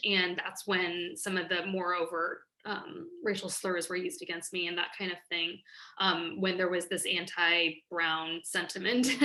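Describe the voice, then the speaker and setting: With an American accent, a woman speaks at a moderate pace in a medium-pitched voice with a bright, sharp tone. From US Midwest, Kansas. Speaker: nonprofit founder and director. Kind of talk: interview. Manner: hesitant, many fillers.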